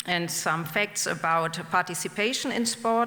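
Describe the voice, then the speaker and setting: A woman speaks in a German accent at a fairly slow pace. Noticeable background noise is present. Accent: non-native English, German. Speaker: professor. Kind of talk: lecture. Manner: slow and deliberate; halting.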